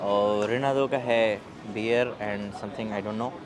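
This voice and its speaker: A man's voice over noticeable background noise. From India. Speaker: vlogger, international student. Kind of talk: travel vlog. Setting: outdoors.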